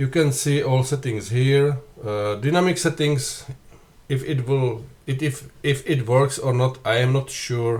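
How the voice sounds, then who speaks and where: A man speaks slowly, at a fairly slow pace, with a non-native accent. His medium-pitched voice is somewhat breathy, with fairly even intonation. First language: not English. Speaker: flight sim youtuber. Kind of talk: tutorial. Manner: halting.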